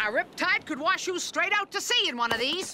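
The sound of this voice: Bright and sharp in tone, a cartoonish character voice moves along at a fairly quick pace. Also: lively intonation.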